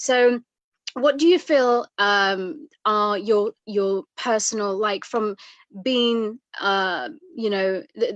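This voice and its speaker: Against a quiet background with a dry, close sound and no echo, a woman speaks very slowly in an Eritrean accent, her fairly high pitch showing ordinary variation. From East Africa, moved to UK at seven. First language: Tigrinya. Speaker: interviewer. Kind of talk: interview. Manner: halting.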